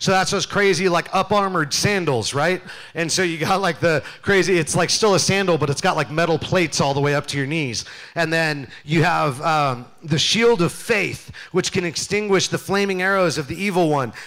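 A man's high-pitched voice at a moderate pace, with ordinary pitch variation and a quiet background. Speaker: youth pastor. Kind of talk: sermon. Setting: church stage with audience. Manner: loud; animated. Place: church. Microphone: handheld.

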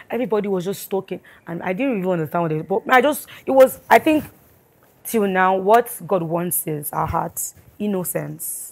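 This woman's intonation is lively. She keeps a moderate pace. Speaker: gospel singer, guest. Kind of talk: interview, personal testimony. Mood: earnest, reflective. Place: studio.

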